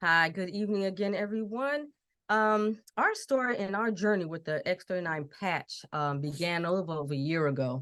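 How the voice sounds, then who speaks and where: A woman with an American accent speaks in an ordinary speaking voice at a medium pitch and moderate pace. Her intonation is lively, and the background is quiet. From US Northeast, Connecticut. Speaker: sales presenter. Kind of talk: testimony.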